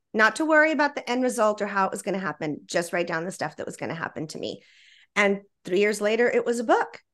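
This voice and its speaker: A very fast, fairly high-pitched woman with an American accent, lively intonation and big swings in loudness, over a quiet background. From Texas, Laredo. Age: 50s. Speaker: feng shui expert and author. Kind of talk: interview.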